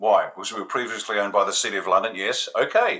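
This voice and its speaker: The pace is very fast. A man delivers it with an Australian accent. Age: 60s. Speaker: retired army officer, political commentator. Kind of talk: interview answer, political commentary. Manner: animated.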